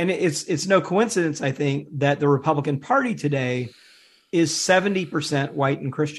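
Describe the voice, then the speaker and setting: Over a quiet background, the voice is somewhat breathy with an American accent. It has ordinary pitch variation and a moderate pace. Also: man, fairly high pitch for a man. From US South, Mississippi (Jackson). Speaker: author and religion researcher. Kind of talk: interview. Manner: hesitant, many fillers.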